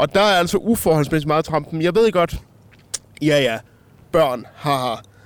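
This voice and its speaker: A man with an ordinary speaking voice talks at a fairly slow pace. His pitch is fairly high, with lively intonation and very even loudness. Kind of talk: casual chat. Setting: outdoors at a harbour.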